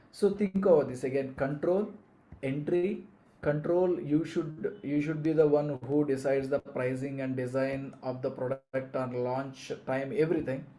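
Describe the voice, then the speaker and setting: A man with a Telugu accent, fairly high pitch, ordinary pitch variation, a dark, mellow tone and a fairly slow pace, with audible room echo. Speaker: business coach. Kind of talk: live online lecture. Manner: hesitant, many fillers and restarts.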